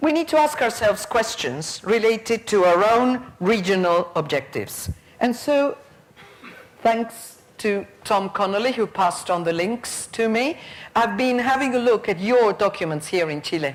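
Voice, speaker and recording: A woman's fairly high-pitched voice in an Argentine accent, with lively intonation and a moderate pace. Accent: Argentinian Spanish accent in Spanish. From Argentina. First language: Spanish. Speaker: teacher trainer, conference speaker. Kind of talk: conference plenary talk.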